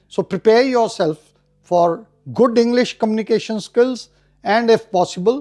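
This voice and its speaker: Speaking with a Punjabi accent, a man uses a high, dark, mellow voice with lively intonation at a fairly slow pace against a quiet background. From India. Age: old. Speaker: retired army officer. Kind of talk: interview.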